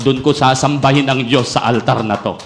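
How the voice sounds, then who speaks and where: The pace is fairly slow. Room echo is audible, and background noise is noticeable. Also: man. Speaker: pastor. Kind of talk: sermon. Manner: emphatic, sounds almost angry.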